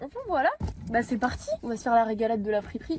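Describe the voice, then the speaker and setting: A somewhat breathy woman at a fairly quick pace. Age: 20s. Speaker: art student. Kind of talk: casual talk to camera while driving. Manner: chatty, rambling.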